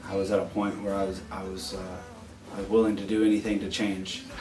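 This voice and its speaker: A man with an American accent speaks in a fairly low pitch with fairly even intonation. Music plays in the background, and room echo can be heard. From Oklahoma. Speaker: rehab program graduate. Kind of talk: testimony. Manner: halting.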